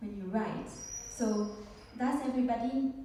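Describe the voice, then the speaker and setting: A woman's fairly high voice in a French accent, fairly even in intonation, with audible room echo and noticeable background noise. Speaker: speaker and coach. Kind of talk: conference talk. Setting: stage with audience. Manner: slow.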